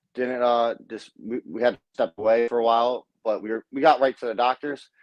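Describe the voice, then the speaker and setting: With an American accent, a man speaks at a fairly quick pace in a medium pitch. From South Baltimore, Maryland. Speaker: professional boxer. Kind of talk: interview. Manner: halting.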